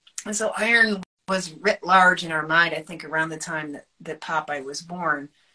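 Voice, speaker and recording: A woman's ordinary speaking voice, fairly low in pitch, with ordinary pitch variation at a moderate pace. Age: 50s. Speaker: nutrition educator and author. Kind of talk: interview on a live stream. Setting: live video stream.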